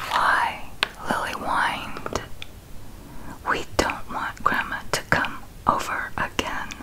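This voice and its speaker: Whispering very slowly, a woman is heard over noticeable background noise. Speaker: ASMR video creator. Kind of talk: whispered story reading. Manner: whispered, soft.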